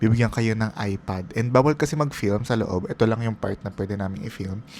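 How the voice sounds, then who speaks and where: Delivered at a fairly quick pace, a plain, everyday voice carries ordinary pitch variation. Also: man, medium pitch for a man. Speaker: travel vlogger. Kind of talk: voiceover narration. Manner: casual, conversational.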